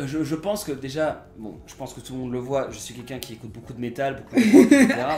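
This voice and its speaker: This man talks very fast with hardly any pauses, his pitch fairly high and his intonation lively. His loudness swings widely, and there is noticeable background noise. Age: 20s. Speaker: actor and voice dubber. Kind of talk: interview answer. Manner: casual, enthusiastic.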